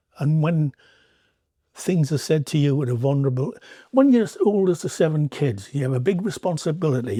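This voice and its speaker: A man with a fairly high pitch, a dark, mellow tone and a somewhat breathy quality talks at a fairly quick pace with lively intonation, in a dry, close sound with no echo. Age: 60s. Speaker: artist. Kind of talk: podcast interview. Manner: animated.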